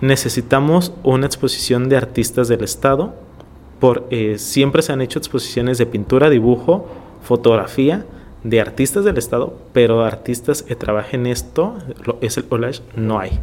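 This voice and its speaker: An ordinary speaking voice from a man at medium pitch, moderate pace and ordinary pitch variation. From Tijuana, Mexico (born in Ensenada). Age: 30s. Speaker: visual artist. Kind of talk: interview.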